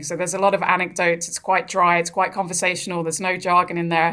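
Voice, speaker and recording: A fairly quick pace in a southern English accent. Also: woman. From England, Brighton. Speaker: author and sports professional. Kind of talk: radio interview.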